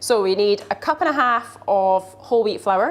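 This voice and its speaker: Noticeable background noise behind a woman speaking at a fairly slow pace, her intonation lively. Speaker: cooking show host. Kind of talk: live cooking tutorial.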